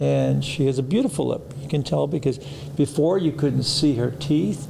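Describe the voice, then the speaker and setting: A man with an American accent speaks at a moderate pace in a fairly high pitch, with ordinary pitch variation. Noticeable background noise runs under his voice. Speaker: plastic surgeon, podcast host. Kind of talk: casual interview chat.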